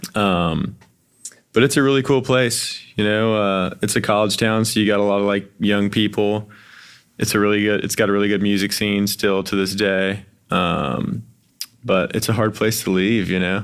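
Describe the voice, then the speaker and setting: On a very clean recording with a silent background, a man with an unremarkable speaking voice and fairly low pitch talks at a moderate pace, with very even loudness and fairly even intonation. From Wilmington, North Carolina. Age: 20s. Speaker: musician. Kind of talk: casual chat.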